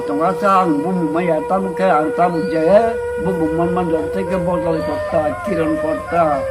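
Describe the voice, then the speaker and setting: A man with a fairly high pitch and very wide pitch swings, audible room echo and music in the background. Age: old. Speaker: elder storyteller. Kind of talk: oral storytelling.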